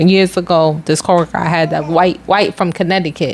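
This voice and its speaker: Noticeable background noise is heard as a woman talks. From Philadelphia, US Northeast. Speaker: podcast co-host. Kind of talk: casual chat. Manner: fast.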